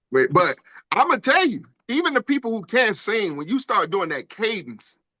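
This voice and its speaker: A man with an American accent speaks in a raised, projected voice at a moderate pace, his high pitch swinging very widely and his tone bright and sharp. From Detroit, US Midwest. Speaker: podcast co-host, navy veteran. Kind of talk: casual chat.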